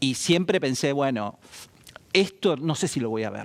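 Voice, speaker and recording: In a Rioplatense accent, a man speaks at a medium pitch with lively intonation. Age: 60s. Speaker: economist. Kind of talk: interview.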